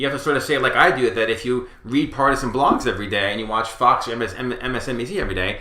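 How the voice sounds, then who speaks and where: Noticeable background noise and audible room echo surround the recording. A man with an American accent speaks very fast at a medium pitch. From New York area (Westchester County). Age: 40s. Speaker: political pundit. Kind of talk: interview. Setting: small studio.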